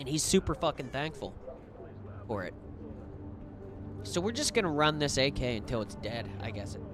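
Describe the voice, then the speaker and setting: Lively intonation from a man at medium pitch, a moderate pace with long, frequent pauses, and music in the background. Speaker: gaming streamer. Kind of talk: gameplay live stream commentary. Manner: casual, stumbling over words.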